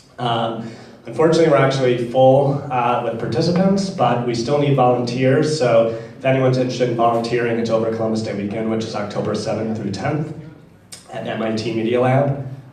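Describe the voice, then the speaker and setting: At a fairly quick pace, a man talks with a medium pitch and ordinary pitch variation. Room echo is audible and background noise is noticeable. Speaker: lightning talk presenter, hackathon organizer. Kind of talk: lightning talk announcement.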